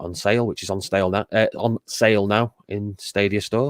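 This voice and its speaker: In a northern English accent, a man speaks at a fairly low pitch with monotone, flat intonation, in a very clean recording with a silent background and a dry, close sound with no echo. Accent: northern English drawl. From northern England, Macclesfield. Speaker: streamer and show guest. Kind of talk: casual chat.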